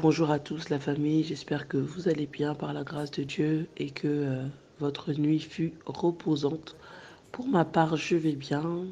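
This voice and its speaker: In a put-on character voice, a woman speaks hoarsely at a fairly slow pace with a very deep, low pitch. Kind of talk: warm, religious greeting.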